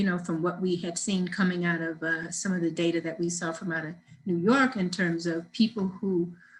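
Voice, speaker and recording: Somewhat breathy and fairly low in pitch, a woman talks at a moderate pace. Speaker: nonprofit deputy director. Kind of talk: webinar presentation. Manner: animated.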